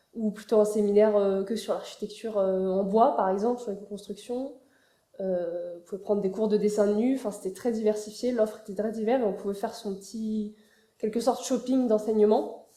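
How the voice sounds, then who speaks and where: The speaker is a woman with a fairly high pitch. Her intonation is monotone and flat, and her pace is moderate. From France, Paris. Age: 20s. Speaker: architecture student. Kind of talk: interview. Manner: hesitant, many fillers.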